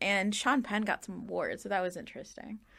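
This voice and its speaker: A woman talks at a fairly quick pace in a raised, projected voice. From US Midwest, Chicago. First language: Urdu. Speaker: guest. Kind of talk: casual chat.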